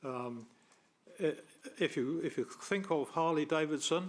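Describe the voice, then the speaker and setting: A fairly high-pitched man with a New Zealand accent. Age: 70s. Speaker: member of the public making a submission. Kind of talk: public submission at council meeting. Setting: council committee meeting. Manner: halting.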